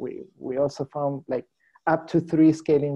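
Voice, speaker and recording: A man in a Spanish accent, fairly high-pitched, dark and mellow in tone, with fairly even intonation at a moderate pace, in a dry, close sound with no echo. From Chile. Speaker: scientist presenting research. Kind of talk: seminar Q&A. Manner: halting.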